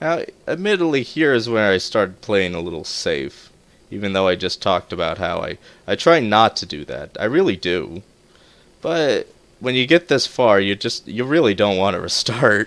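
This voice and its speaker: Over a silent background on a very clean recording, a man with a fairly low pitch speaks at a moderate pace with very wide pitch swings. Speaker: gaming video creator. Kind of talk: gameplay commentary. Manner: low-energy; halting.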